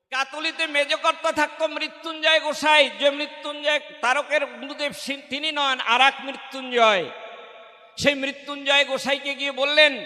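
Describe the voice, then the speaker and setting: A man's raised, projected voice, extremely high in pitch and flat in intonation, over noticeable background noise. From India, Odisha (Malkangiri), Bengali-speaking. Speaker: religious speaker, government employee. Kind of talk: devotional discourse at religious gathering.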